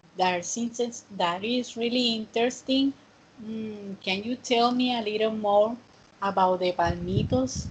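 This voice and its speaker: A woman's fairly high voice at a fairly slow pace, with ordinary pitch variation and noticeable background noise. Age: 30s. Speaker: student teacher of English. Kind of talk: online class.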